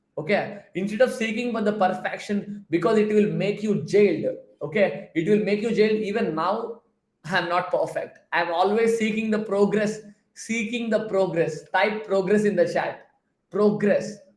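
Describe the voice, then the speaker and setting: Here a man speaks with a Telugu accent and a high pitch. His tone is animated and his pace moderate. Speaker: productivity coach. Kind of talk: live stream Q&A talk. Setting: live stream with chat.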